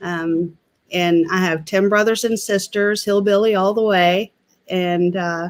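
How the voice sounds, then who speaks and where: A woman's medium-pitched voice with an Appalachian accent, flat and monotone, at a fairly slow pace. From West Virginia, Mingo County. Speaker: political candidate. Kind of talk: casual chat.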